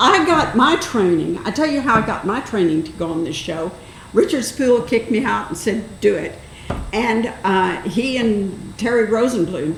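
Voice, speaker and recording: With audible room echo and noticeable background noise, a woman speaks at a moderate pace in a fairly high voice with lively intonation. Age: 80s+. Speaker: public access TV host. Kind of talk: casual interview.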